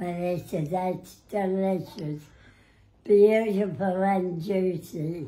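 Speaking very slowly in an Australian accent, a woman keeps her intonation fairly even. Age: 80s+. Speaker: elderly resident. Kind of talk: casual talk with family. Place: home room. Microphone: phone near.

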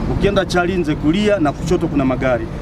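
A man at a very fast pace, dry with no echo, amid noticeable background noise. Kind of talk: press statement. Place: street. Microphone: handheld.

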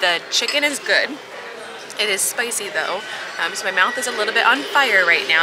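Loud background noise fills the clip. A woman talks at a very fast pace. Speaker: food vlogger. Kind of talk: casual food review chat. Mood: cheerful, slightly spicy-mouthed. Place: cafe. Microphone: phone near.

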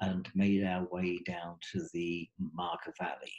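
Over a quiet background, a man talks at a very slow pace. His tone is dark and mellow. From Australia. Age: 70s. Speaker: trekking guide and author. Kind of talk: webinar talk. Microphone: webcam.

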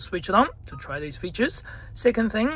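A man speaks at a fairly quick pace. The sound is dry, with no echo. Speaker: car salesperson channel host. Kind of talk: tutorial. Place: car. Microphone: phone near.

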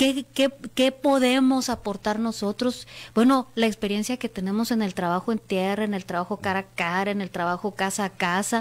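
Her voice is fairly high in pitch, with ordinary pitch variation, and the woman speaks at a moderate pace. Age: 40s. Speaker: politician. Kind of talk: interview. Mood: earnest, reflective. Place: studio. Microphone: studio mic.

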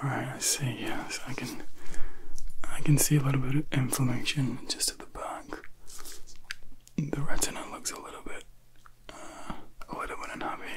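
A man whispers in a soft-spoken voice at a moderate pace, with long, frequent pauses, big swings in loudness, and noticeable background noise. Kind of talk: soft spoken role-play instructions. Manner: soft whispered doctor's murmur.

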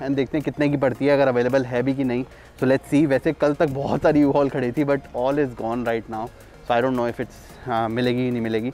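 Faint music plays in the background as a man talks at a moderate pace with fairly even intonation, recorded dry with no echo. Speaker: vlogger. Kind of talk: casual vlog chat. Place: street. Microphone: phone near.

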